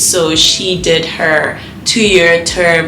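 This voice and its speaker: A woman with a South African accent at a fairly low pitch, amid noticeable background noise and audible room echo. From South Africa, Johannesburg (Alexandra, Kempton Park). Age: 20s. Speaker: former au pair. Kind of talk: interview.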